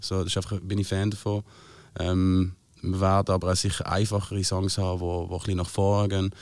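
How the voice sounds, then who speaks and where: A man speaks at a very fast pace with a fairly low pitch. The recording is very clean, with a silent background. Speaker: singer-songwriter. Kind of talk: casual chat.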